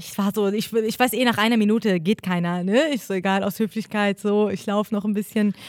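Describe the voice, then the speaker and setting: A woman with a non-native accent speaks at a medium pitch and a fairly quick pace. She leaves hardly any pauses, and her intonation is fairly even. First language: not German (speaking German). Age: 20s. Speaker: podcast co-host. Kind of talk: casual chat.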